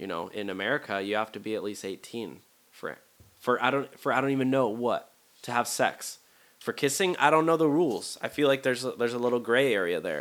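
A man with an ordinary speaking voice speaks at medium pitch with lively intonation. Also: fairly quick pace. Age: 20s. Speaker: podcast host. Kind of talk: casual solo monologue. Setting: home studio recording, also on YouTube. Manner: rambling, casual, with filler words.

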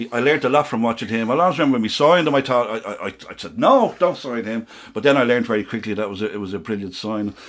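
Speaking in a Dublin accent, a man races along at a very fast pace with hardly any pauses, a medium pitch and ordinary pitch variation. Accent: Dublin Irish. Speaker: football supporter. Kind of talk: casual chat. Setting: studio.

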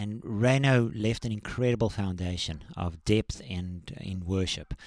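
Fairly low in pitch, a man speaks in a normal speaking voice with ordinary pitch variation. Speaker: worship leader and songwriter. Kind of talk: casual interview. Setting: studio.

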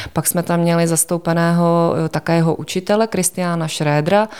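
In a dark, mellow tone, a woman speaks at a moderate pace with a very deep, low pitch and monotone, flat intonation. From Czechia, Prague. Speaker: art museum curator. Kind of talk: interview.

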